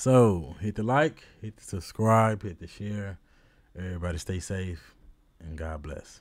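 A man with a very deep, low pitch talks at a fairly slow pace, with ordinary pitch variation and big swings in loudness, in a very clean recording with a silent background. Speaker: sports YouTuber, Ravens fan. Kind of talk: casual solo video commentary. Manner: casual, rambling, filler words.

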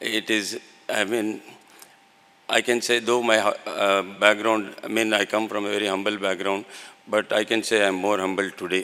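Speaking at a moderate pace, a man delivers his words in a monotone with flat intonation. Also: fairly low pitch for a man. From India. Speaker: company founder. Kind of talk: ceremonial speech; ceremonial thank-you speech. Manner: halting. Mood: grateful, humble. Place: hall. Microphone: podium.

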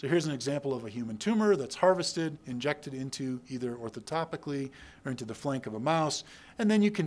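This man has an ordinary speaking voice, talking at a fairly quick pace with a fairly high pitch and lively intonation. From Texas. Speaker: urologist and researcher. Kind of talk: lecture. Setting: stage with audience. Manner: casual with frequent fillers.

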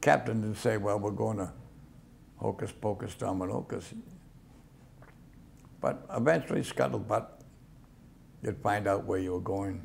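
Speaking at a moderate pace, a man uses a fairly low pitch with vocal fry. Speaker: World War II Navy veteran. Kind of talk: oral history interview answer.

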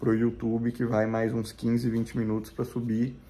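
In a monotone, flat intonation, a man moves along at a fairly quick pace. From Minas Gerais, Brazil. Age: 30s. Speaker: vegan lifestyle vlogger. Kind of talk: casual vlog talk to camera. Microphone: phone near.

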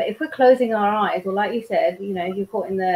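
A woman is speaking. Her pitch varies in an ordinary way. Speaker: guest. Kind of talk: interview answer. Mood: calm, encouraging. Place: home room. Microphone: video call.

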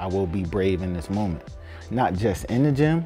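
Faint music plays in the background as the speech moves at a moderate pace. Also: man. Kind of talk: interview answer. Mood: earnest, motivational. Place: home room.

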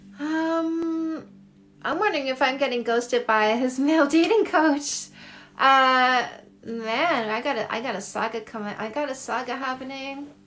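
Faint music plays in the background as a woman talks at a moderate pace with a high pitch. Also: ordinary pitch variation. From Canada. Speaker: dating coach. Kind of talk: livestream Q&A with viewers. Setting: live video stream from home. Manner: warm, affectionate. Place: home room. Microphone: phone near.

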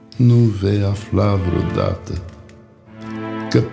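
Music plays in the background as a man talks at a very slow pace. His pitch is fairly low. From Romania. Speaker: actor. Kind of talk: poetry reading. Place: studio.

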